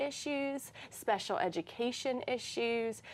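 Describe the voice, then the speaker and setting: The recording is very clean, its background silent. A woman talks with an American accent. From North Carolina, Durham. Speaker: teacher. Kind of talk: interview. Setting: studio.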